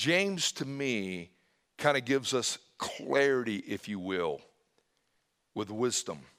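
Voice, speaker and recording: A man speaking at a very slow pace with very wide pitch swings and long, frequent pauses. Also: medium pitch for a man, very clean recording, silent background. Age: 50s. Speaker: pastor. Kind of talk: sermon. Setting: church.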